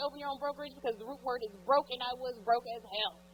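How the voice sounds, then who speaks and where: A woman speaks with a Texan accent. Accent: Texas Southern. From East Texas. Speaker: realtor and business coach. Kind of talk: conference talk. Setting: stage with audience. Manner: loud; informal.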